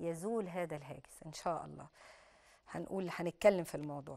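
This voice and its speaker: Against a quiet background, a woman speaks in a fairly low, dark, mellow tone. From Egypt. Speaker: Islamic preacher and TV host; Islamic preacher, TV host. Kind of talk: religious TV program with Quran commentary and call-ins. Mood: calm, reassuring. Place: studio.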